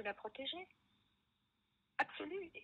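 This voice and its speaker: Very wide pitch swings run through the speech. The voice belongs to a woman. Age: 70s. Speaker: motorcycle traveler and author. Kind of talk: interview. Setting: phone call. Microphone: poor phone sound.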